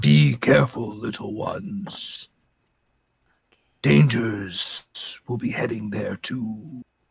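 Using a put-on character voice at a medium pitch, a man speaks very slowly with long, frequent pauses. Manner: slow, terse, solemn.

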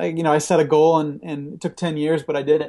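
A man's fairly high voice with a dark, mellow tone, at a fairly quick pace. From Canada, Ontario (Peterborough). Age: 30s. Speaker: music video director. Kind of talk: interview. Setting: remote call.

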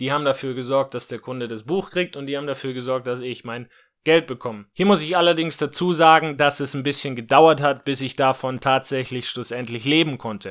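With a plain, everyday voice at a medium pitch, a man talks at a fairly quick pace with ordinary pitch variation and big swings in loudness, on a very clean recording with a silent background. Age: 20s. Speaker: podcast host and online entrepreneur. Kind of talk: solo podcast monologue.

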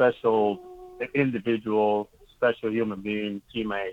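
A man speaks at a fairly slow pace. He has a medium pitch and an unremarkable speaking voice. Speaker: minor league baseball manager. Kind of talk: casual interview.

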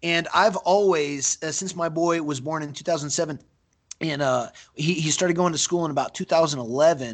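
An American-accented man with an ordinary speaking voice talks at a fairly slow pace, his pitch fairly high with ordinary variation. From split childhood between Brazil and the US. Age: 30s. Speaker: mixed martial arts fighter. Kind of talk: casual interview.

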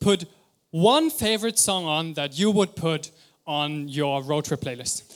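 Recorded very cleanly against a silent background, a man with a normal speaking voice and fairly high pitch talks at a fairly slow pace with ordinary pitch variation. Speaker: preacher. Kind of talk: sermon. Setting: church.

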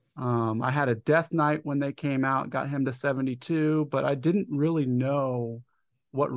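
A man's plain, everyday voice, fairly high in pitch, with fairly even intonation and a fairly slow pace over a quiet background. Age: 30s. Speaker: podcast host. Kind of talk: casual chat.

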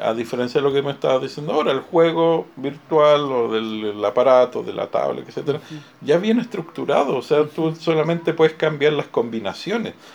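A man's fairly high voice with lively intonation at a moderate pace, an ordinary speaking voice. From Chile. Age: 50s. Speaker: museum director. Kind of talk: interview.

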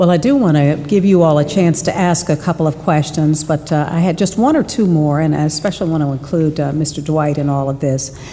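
Over noticeable background noise, a woman with a very deep, low pitch talks at a fairly quick pace, her loudness very even and her intonation fairly even. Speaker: panel moderator. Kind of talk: moderated panel.

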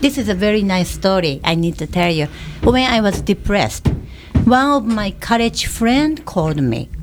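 Lively intonation and a Japanese accent mark this fairly slow delivery, with noticeable background noise. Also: woman. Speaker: personal trainer. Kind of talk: casual chat. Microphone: too far from the mic.

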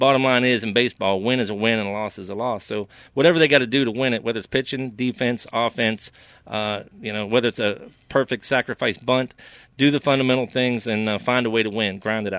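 Speaking very fast with an American accent, a man keeps his intonation fairly even. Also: medium pitch for a man. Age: 50s. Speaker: sports podcast co-host. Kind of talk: casual sports talk.

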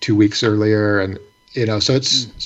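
The speaker talks at a fairly quick pace with an American accent and monotone, flat intonation. Noticeable background noise runs underneath. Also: man. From Michigan, Ypsilanti. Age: 40s. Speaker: independent musician. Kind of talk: casual chat.

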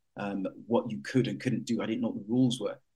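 A man with a London accent speaks at a medium pitch. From Jamaica, raised in East London. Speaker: explorer and nature broadcaster. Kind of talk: panel talk.

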